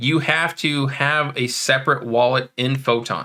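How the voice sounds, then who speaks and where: Bright and sharp in tone, the voice shows ordinary pitch variation. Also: man. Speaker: crypto trading youtuber. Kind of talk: screen-share tutorial. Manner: casual with filler words.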